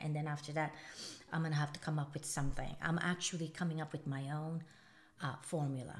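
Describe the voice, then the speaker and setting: A woman speaks with a very deep, low pitch at a fairly quick pace. Her intonation is monotone and flat. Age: 50s. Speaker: beauty vlogger. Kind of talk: makeup tutorial. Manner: fast; casual, chatty.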